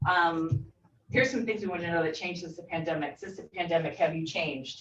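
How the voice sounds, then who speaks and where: Talking at a fairly quick pace, a woman uses a fairly low pitch and ordinary pitch variation. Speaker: workforce survey presenter. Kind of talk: presentation. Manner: fast; animated.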